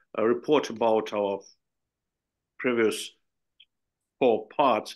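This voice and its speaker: Speaking with a Ukrainian accent, a man keeps to a medium pitch. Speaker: conference moderator. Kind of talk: conference moderation. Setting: video conference. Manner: halting, many hesitations.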